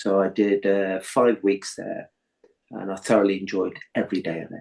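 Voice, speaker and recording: Monotone, flat intonation at a moderate pace, with big swings in loudness. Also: man, fairly low pitch for a man. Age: 60s. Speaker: yoga teacher and plasterer. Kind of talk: interview. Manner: halting.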